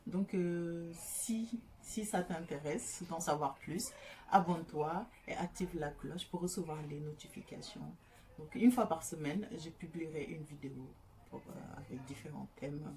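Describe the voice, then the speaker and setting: A woman's fairly low voice at a fairly slow pace, big swings in loudness, noticeable background noise behind her. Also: ordinary pitch variation. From Senegal. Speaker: YouTuber. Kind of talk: casual vlog introduction. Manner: hesitant, many fillers.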